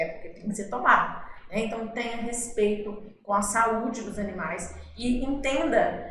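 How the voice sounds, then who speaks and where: A woman at a fairly slow pace, fairly high in pitch with fairly even intonation, amid noticeable background noise and audible room echo. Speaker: veterinarian and vocational teacher. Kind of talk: educational podcast talk.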